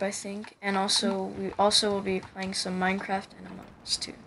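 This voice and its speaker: A woman speaks with an American accent, her loudness swinging widely. Noticeable background noise is present. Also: moderate pace. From Pennsylvania, USA. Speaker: gaming YouTuber. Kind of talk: casual channel trailer talk.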